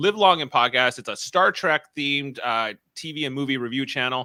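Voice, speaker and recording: A man with an Ontario accent speaks at a medium pitch in a bright, sharp tone, on a very clean recording with a silent background and a dry, close sound with no echo. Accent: Ontario Canadian. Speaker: podcast co-host and producer. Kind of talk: casual chat. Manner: hesitant, many fillers.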